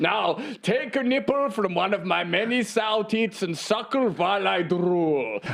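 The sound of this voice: A man puts on a character voice, pitched high with vocal fry and lively intonation. He goes at a fairly slow pace over clear background noise.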